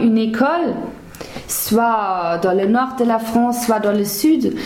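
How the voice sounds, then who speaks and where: With a German accent, a woman speaks at a fairly high pitch with ordinary variation, with audible room echo and noticeable background noise around her. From Germany (Hesse). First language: German (speaking French). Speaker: former language assistant. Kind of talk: interview. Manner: halting, with frequent hesitations and repetitions.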